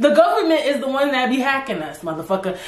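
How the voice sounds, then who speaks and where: A woman talks very fast in a high pitch with an animated tone and very wide pitch swings. Noticeable background noise runs behind her. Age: 20s. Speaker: podcast host. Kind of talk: casual solo talk.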